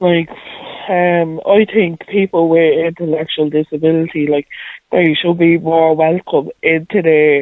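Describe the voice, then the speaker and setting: In a Dublin accent, a woman speaks at a fairly low pitch with monotone, flat intonation and very even loudness. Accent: Dublin Irish. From Dublin, Ireland. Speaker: caller. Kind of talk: casual chat. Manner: halting.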